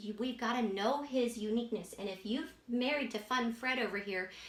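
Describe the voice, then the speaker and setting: A high-pitched female voice at a moderate pace, with noticeable background noise and audible room echo. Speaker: marriage teacher. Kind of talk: tutorial. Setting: indoor room with a whiteboard. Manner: animated.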